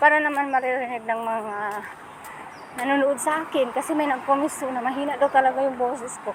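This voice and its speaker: Noticeable background noise sits under speech delivered at a fairly quick pace with fairly even intonation. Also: woman, high pitch for a woman. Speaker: vlogger. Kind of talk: casual vlog talk to camera. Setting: outdoors walking.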